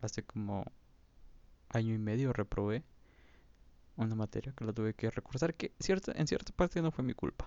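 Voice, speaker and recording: With a Mexican accent, the speaker uses lively intonation broken by long, frequent pauses. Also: man, medium pitch for a man, moderate pace. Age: 20s. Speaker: podcaster. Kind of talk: casual monologue.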